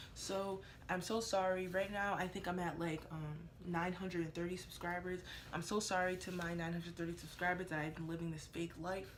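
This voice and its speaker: With a fairly low pitch, a woman speaks at a fairly quick pace over noticeable background noise and audible room echo. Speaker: beauty vlogger, makeup student. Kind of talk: casual talk-to-camera vlog. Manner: loud; animated.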